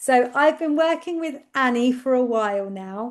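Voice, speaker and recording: Against a quiet background, a woman with a high voice speaks in an English accent. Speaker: speech and language therapist. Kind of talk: webinar presentation. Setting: online webinar. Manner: loud.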